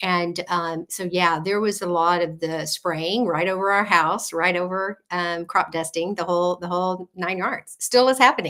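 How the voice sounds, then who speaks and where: With an American accent, a woman talks at a moderate pace with hardly any pauses, her fairly low pitch carrying a bright, sharp tone and fairly even intonation. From South Texas, Gulf Coast near Corpus Christi. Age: 60s. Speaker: health coach. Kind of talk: interview. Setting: live radio show.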